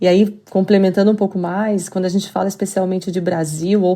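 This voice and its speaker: A woman's medium-pitched voice with a dark, mellow tone, in a Curitiba accent, monotone and flat in intonation, at a moderate pace over a quiet background. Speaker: business expert. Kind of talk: podcast interview.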